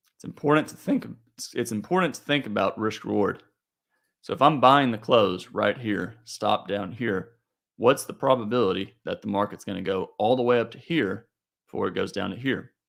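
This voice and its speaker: A man's unremarkable speaking voice at medium pitch, with ordinary pitch variation, a moderate pace and big swings in loudness, on a very clean recording with a silent background. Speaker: trading educator. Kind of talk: market review tutorial.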